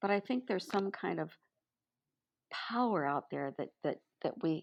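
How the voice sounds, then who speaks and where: A woman's fairly low voice with vocal fry, lively intonation and a moderate pace. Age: 60s. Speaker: retired educator and mentor. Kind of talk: casual interview chat. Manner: halting.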